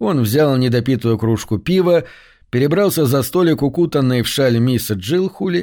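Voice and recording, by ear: Natural-voiced reading aloud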